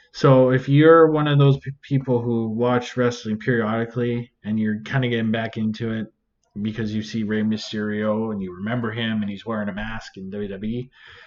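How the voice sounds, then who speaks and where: This man speaks with a Canadian accent at a medium pitch and moderate pace. An ordinary speaking voice, with fairly even intonation. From Canada. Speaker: reaction video creator. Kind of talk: casual commentary.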